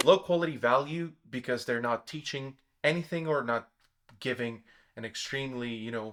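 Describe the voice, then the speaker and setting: A man with a non-native accent, ordinary pitch variation and a moderate pace. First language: not English. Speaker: self-development YouTuber. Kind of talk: explanatory monologue. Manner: hesitant, with fillers and self-corrections.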